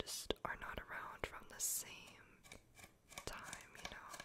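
A woman is whispering. Her voice is soft-spoken. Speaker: ASMR creator. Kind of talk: soft-spoken ASMR chat. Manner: soft close-mic whisper. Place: home room. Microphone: studio mic.

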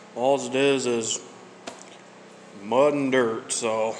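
At a slow pace, a man talks at a medium pitch with fairly even intonation.

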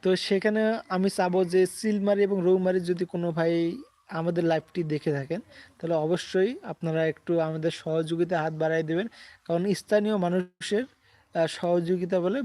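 A man's high-pitched voice has a dark, mellow tone and fairly even intonation. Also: very clean recording, silent background. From northern Bangladesh, Kurigram district. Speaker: comedy content creator. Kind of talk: casual live-stream chat. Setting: outdoor shooting location.

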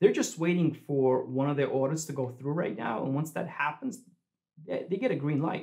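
Against a quiet background, a somewhat breathy man with a fairly high pitch speaks at a moderate pace. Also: ordinary pitch variation. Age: 30s. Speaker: crypto YouTuber. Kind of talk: video commentary. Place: home room.

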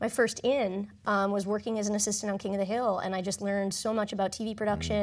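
A woman talks at a very fast pace in a monotone, flat intonation against a quiet background. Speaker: film and television writer. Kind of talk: panel discussion. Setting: stage with audience. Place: stage. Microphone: lapel.

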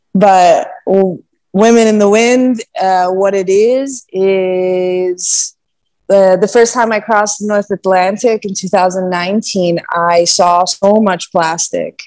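A woman speaks at a very slow pace with fairly even intonation, her voice dry with no echo and the background quiet. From US East Coast. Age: 20s. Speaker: sailor; podcast guest. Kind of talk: casual chat. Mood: relaxed, thoughtful. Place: home room. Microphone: earbuds.

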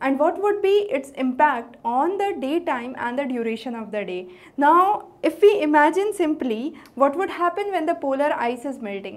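Her pitch is high. The woman's voice swings very widely in pitch. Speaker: teacher. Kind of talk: lecture. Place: studio. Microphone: lapel.

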